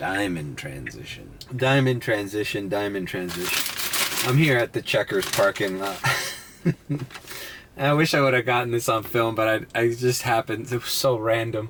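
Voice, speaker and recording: A medium-pitched male voice at a moderate pace, ordinary in pitch variation, with noticeable background noise. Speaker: vlogger. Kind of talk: casual vlog monologue. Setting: in a car at a drive-thru parking lot. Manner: halting, many restarts.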